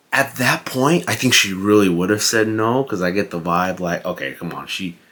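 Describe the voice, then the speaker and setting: A man speaks quietly at a fairly slow pace, his fairly low voice carrying lively intonation. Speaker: fitness vlogger and movie reviewer. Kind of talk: casual vlog movie review. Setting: at home late at night. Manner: quiet, hushed.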